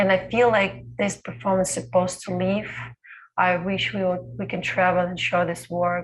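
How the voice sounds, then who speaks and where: Speaking at a moderate pace, a woman with a medium pitch sounds somewhat breathy and uses ordinary pitch variation. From Belarus. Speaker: dancer. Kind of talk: panel Q&A. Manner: halting.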